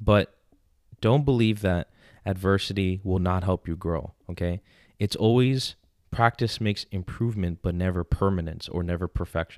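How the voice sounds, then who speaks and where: The voice has an animated tone. It comes with a New York accent. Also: man, very deep, low pitch for a man, ordinary pitch variation, moderate pace, dry, close sound with no echo. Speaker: podcast host, confidence coach. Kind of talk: casual chat.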